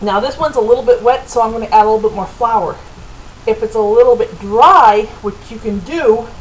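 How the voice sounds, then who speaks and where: A woman's high-pitched voice with lively intonation, against noticeable background noise. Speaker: home cooking video host. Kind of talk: cooking tutorial. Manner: casual, chatty.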